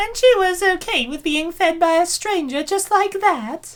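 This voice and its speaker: This put-on character voice is squeaky and extremely high-pitched, delivered at a moderate pace. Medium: fan dub. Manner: measured, analytical.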